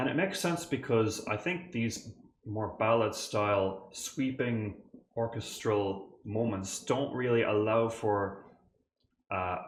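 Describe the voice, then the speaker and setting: A man with an Irish accent speaks at a very slow pace with lively intonation. His voice is somewhat breathy, and audible room echo fills the space. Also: medium pitch for a man. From Ireland. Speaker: composer and music reactor. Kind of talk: reaction video commentary. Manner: animated.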